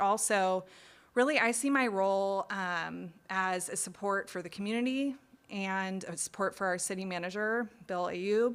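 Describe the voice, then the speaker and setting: A woman with an American accent speaks in a plain, everyday voice at medium pitch and a moderate pace, her intonation fairly even, on a very clean recording with a silent background. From Indiana, US Midwest. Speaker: assistant city manager. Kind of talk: community meeting self-introduction. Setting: public meeting.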